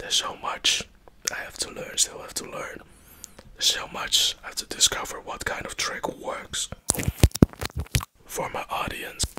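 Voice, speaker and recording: Whispering at a moderate pace, a man pauses long and often, with big swings in loudness. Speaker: ASMR creator. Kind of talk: whispered casual vlog chat. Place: home room. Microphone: earbuds.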